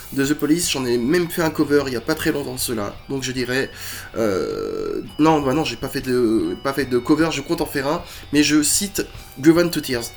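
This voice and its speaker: Fairly high-pitched male speech in a French accent, with ordinary pitch variation, a moderate pace and music in the background. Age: 40s. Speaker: musician and YouTuber. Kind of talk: casual chat. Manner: hesitant, many fillers.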